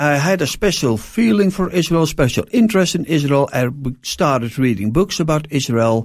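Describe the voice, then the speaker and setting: Speaking at a moderate pace with a Dutch accent, a man swings very widely in pitch while keeping very even loudness, on a very clean recording with a silent background. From Netherlands. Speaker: pastor. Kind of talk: interview. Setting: studio. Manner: halting.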